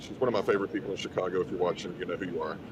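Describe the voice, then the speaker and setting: A man's voice over noticeable background noise. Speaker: live show host. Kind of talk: casual chat. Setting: live broadcast at a conference.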